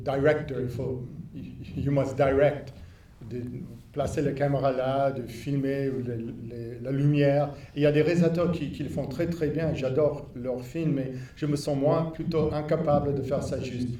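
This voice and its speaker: A man speaks at a fairly slow pace in a fairly high voice, with monotone, flat intonation. Long, frequent pauses break up his speech, and audible room echo surrounds it. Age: 60s. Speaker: filmmaker. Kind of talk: post-screening Q&A. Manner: halting.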